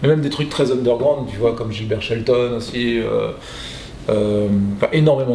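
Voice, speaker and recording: The speech moves at a fairly slow pace with fairly even intonation, carrying audible room echo and noticeable background noise. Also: man. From southern Paris suburbs, France. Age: 40s. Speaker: graffiti artist and comic creator. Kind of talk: interview. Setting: exhibition in Montreal. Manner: hesitant, many fillers.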